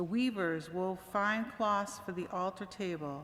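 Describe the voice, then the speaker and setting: Speaking at a fairly slow pace, a woman with a medium pitch is heard amid audible room echo. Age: 60s. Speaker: church membership volunteer reading a story. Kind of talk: reading aloud. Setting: church service.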